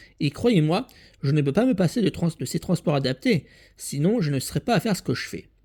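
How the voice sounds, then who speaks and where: The tone is dark and mellow, with very wide pitch swings. The recording is very clean, the background silent. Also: man, dry, close sound with no echo. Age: 40s. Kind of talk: personal video appeal. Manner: halting.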